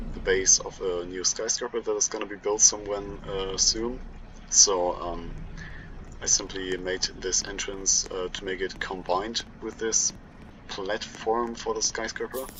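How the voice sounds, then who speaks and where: A man with a strong German accent, fairly slow and fairly low in pitch, flat and monotone in intonation, with big swings in loudness over noticeable background noise. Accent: thick German. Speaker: gaming YouTuber. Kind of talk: game walkthrough commentary. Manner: halting, many fillers.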